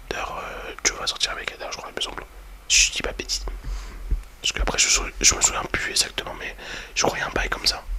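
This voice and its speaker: Whispering at a very fast pace broken by long, frequent pauses, a man varies greatly in loudness against noticeable background noise. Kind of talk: ASMR whispered review talking to the viewer. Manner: whispered, soft-spoken, casual and hesitant.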